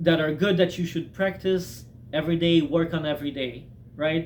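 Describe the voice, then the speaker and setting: Fairly high in pitch, a man speaks in an unremarkable speaking voice with fairly even intonation. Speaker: self-help video maker. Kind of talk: casual talking-head advice monologue. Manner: conversational with many fillers.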